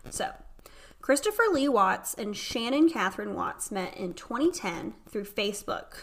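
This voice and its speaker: A woman talks in a Southern US accent. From North Carolina. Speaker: podcast host. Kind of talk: casual chat. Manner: animated.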